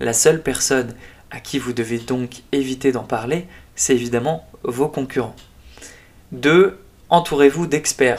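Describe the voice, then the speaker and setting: A man with a medium pitch talks at a very slow pace, with long, frequent pauses, ordinary pitch variation and big swings in loudness. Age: 20s. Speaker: podcast host, entrepreneur. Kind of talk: solo monologue podcast. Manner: casual with frequent hesitations.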